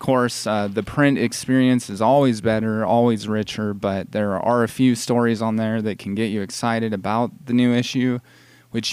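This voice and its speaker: This is a man with an American accent and a plain, everyday voice, speaking at a medium pitch with fairly even intonation. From California. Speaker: magazine editor and radio host. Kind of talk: radio interview. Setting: live radio show at a mall.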